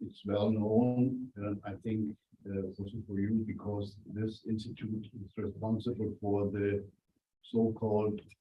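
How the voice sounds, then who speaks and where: Speaking in a flat monotone, a man with a fairly low, somewhat breathy voice takes a fairly slow pace. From Germany, Franconia. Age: 60s. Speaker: journalist and author. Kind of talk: guest talk to students.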